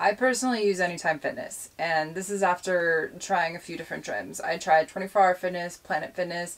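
At a moderate pace, a woman speaks in a fairly low pitch with ordinary pitch variation. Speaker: van life vlogger. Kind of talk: casual vlog chat.

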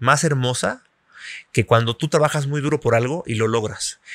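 A man's voice with ordinary pitch variation, a dry sound with no echo, and a quiet background. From Mexico. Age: 40s. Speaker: journalist and former magazine editor; journalist. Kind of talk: interview conversation. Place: cafe. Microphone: studio mic.

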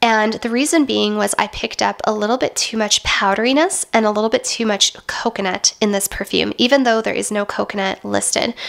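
Noticeable noise sits in the background. Over it, a woman talks rather quickly. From Western Canada. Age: 30s. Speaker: beauty and lifestyle youtuber. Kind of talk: product review vlog. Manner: chatty, conversational.

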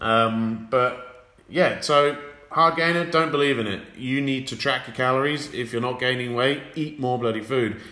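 A man with an English accent keeps a fairly even intonation over noticeable background noise. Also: medium pitch for a man, moderate pace. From England. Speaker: fitness coach. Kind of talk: casual chat.

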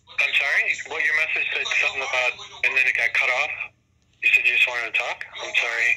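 A man at a very fast pace amid noticeable background noise. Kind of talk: casual vlog chat and phone argument. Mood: frustrated, confrontational. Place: home room. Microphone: phone near.

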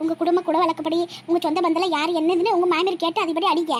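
A woman puts on a cartoonish character voice at an extremely high pitch. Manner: gentle, conciliatory.

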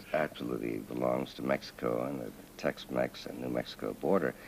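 Over light background noise, a man with vocal fry talks at a fairly slow pace. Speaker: guest. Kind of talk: interview answer. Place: studio.

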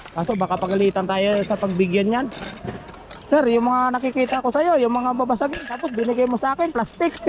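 Over noticeable background noise, a man with an extremely high pitch talks at a fairly quick pace and very even loudness. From Philippines, Quezon province. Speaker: vlogger, overseas worker. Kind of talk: casual vlog narration. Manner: animated.

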